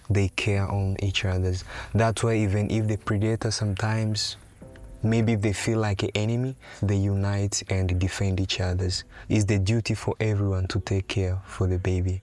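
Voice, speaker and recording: Music plays in the background as a man speaks at a moderate pace and fairly low pitch. His intonation is monotone and flat, and his loudness is very even. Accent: Tanzanian. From Tanzania. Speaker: safari guide. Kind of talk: interview portrait.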